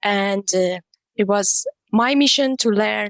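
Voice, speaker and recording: A woman at medium pitch and a fairly slow pace, with fairly even intonation and a dry, close sound with no echo. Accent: Persian. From Iran. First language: Persian. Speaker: non-profit co-founder, tech professional. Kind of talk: podcast interview.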